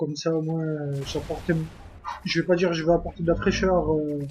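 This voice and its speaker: A man with a high voice and a dark, mellow tone speaks at a moderate pace. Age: 20s. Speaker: gaming YouTuber. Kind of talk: casual self-introduction vlog. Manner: hesitant, many fillers.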